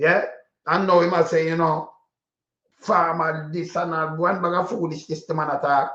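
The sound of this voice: Heard with audible room echo, a man talks at a moderate pace in a fairly bright tone with little pitch movement. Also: fairly high pitch for a man.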